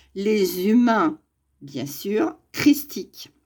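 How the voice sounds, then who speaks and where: Her pitch swings very widely as this woman talks at a very slow pace. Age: 60s. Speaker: spiritual YouTuber. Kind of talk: monologue to camera.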